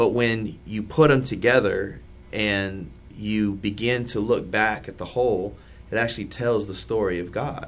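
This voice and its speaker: In an American accent, a man speaks at a fairly slow pace with a fairly low pitch and fairly even intonation, and room echo is audible. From downtown Indianapolis, Indiana. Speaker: church planter. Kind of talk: casual chat.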